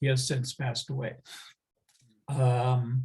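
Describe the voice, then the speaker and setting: The voice belongs to a man and sits at a medium pitch. It carries a somewhat breathy quality. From US Midwest, moved to Israel at 14. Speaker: interviewee recounting life story. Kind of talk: oral history interview. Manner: halting, many fillers.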